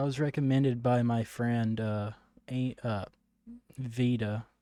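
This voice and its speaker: In a Southern US accent, a man talks at a medium pitch with a dark, mellow tone and ordinary pitch variation. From US South. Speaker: gaming streamer. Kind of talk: live gameplay stream, chatting with viewers and reading game dialogue aloud. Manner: casual, halting with fillers.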